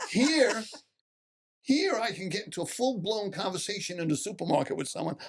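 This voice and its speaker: Speaking fairly quickly with a Long Island accent, a man uses a high pitch and lively intonation. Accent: Long Island New York. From Long Island, New York (Suffolk County). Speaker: relocated resident. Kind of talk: casual roundtable chat. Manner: halting, repeats words.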